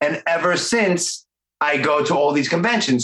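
A man talks with a strong Brooklyn accent. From Brooklyn, New York. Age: 40s. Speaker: podcast host. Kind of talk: casual interview. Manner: animated.

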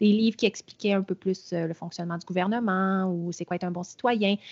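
A woman speaks at a medium pitch. Her tone is slightly mellow.

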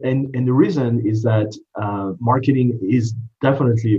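Somewhat breathy, a man with a French accent and a medium pitch speaks at a fairly quick pace with ordinary pitch variation, with audible echo in the room. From France. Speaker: marketing executive. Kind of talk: interview. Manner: halting.

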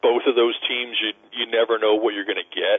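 A man with an unremarkable speaking voice talks in a medium pitch with ordinary pitch variation. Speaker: sports writer. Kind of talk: phone interview. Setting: phone call. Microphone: cell phone.

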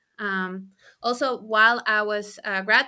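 A woman's bright, sharp voice with a Spanish accent, fairly even in intonation and fairly slow, on a very clean recording with a silent background. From Chile. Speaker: postdoctoral ecologist. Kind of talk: interview.

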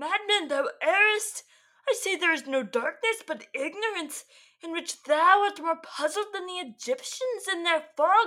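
Delivered at a moderate pace, this put-on character voice sits at an extremely high pitch. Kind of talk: comic mock-clerical performance. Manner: solemn, mock-stern, theatrical.

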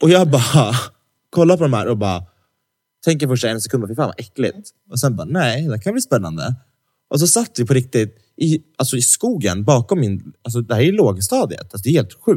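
A man's medium-pitched voice has a dark, mellow tone and is somewhat breathy. He moves at a fairly quick pace with very wide pitch swings. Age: 20s. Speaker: podcast co-host. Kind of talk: casual chat. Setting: studio.

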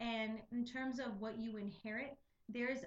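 Her voice is fairly high and somewhat breathy, moving at a moderate pace with fairly even intonation. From Puerto Rican and Mexican heritage. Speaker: podcast co-host. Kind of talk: casual chat.

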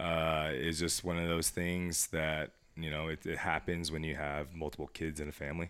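With a General American accent, a man speaks at a moderate pace in a very deep, low pitch, monotone and flat. There are hardly any pauses, and the recording is very clean with a silent background. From US West, Las Vegas, Nevada. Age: 30s. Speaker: fitness professional. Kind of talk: casual interview chat. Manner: halting, repeats words.

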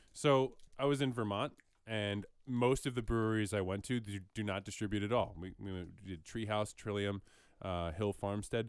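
At a moderate pace, a man talks in an unremarkable speaking voice with a fairly low pitch and ordinary pitch variation, recorded very cleanly against a silent background. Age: 30s. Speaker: podcast co-host. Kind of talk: casual chat.

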